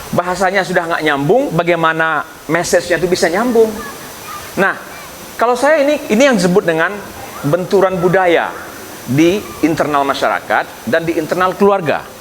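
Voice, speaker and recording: A man with a Minang accent, high pitch and lively intonation, very even loudness, a moderate pace, and noticeable background noise. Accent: Minang-accented Indonesian. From West Sumatra, Indonesia. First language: Minangkabau (speaking Indonesian). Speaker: professor, candidate for community association chair. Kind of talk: campaign speech with Q&A.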